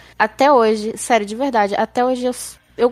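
Recorded very cleanly against a silent background, a woman speaks with ordinary pitch variation. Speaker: podcast co-host. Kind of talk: casual chat; show outro.

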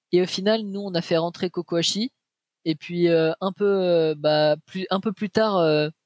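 At a very slow pace, a man with a high pitch and fairly even intonation is heard in a dry, close sound with no echo. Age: 20s. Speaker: esports player. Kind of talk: interview. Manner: halting.

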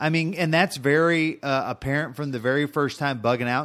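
In a very clean recording with a silent background, a man speaks in a plain, everyday voice at a fairly high pitch. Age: middle-aged. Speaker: podcast co-host. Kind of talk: casual chat.

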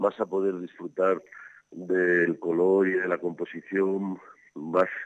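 A man's very deep, low voice, dry and close with no echo. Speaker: architect and art commentator. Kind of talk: casual chat. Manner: halting.

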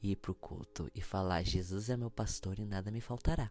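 On a very clean recording with a silent background, a man with a Brazilian accent speaks fairly slowly in an animated tone, his pitch fairly low with ordinary variation. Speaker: podcast host. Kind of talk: casual solo podcast monologue.

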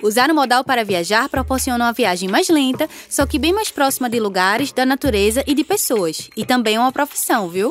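A woman speaks with hardly any pauses, her high voice full of lively intonation and an animated tone. Her loudness stays very even, and there is noticeable background noise. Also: fairly quick pace. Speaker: radio host. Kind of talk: scripted radio narration.

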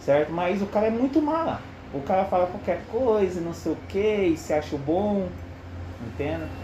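A fairly slow, high-pitched man's voice with lively intonation over noticeable background noise. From Curitiba, southern Brazil. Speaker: football commentator among coworkers. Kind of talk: casual chat.

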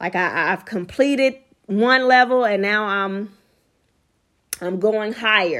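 On a very clean recording with a silent background, a woman with a fairly high pitch speaks at a fairly slow pace, with ordinary pitch variation and long, frequent pauses. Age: 20s. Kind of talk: devotional teaching monologue.

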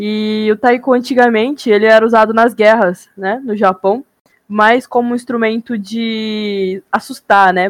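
A woman speaks at a fairly high pitch with fairly even intonation, in a dry, close sound with no echo. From Japan (childhood), then Brazil. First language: Japanese (speaking Portuguese). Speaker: podcast guest. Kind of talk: casual chat.

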